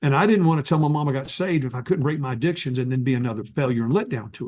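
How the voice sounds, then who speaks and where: Very fast, somewhat breathy speech with hardly any pauses, lively intonation, big swings in loudness and an American accent. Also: man. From North Texas. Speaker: evangelist. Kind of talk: testimony. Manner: halting.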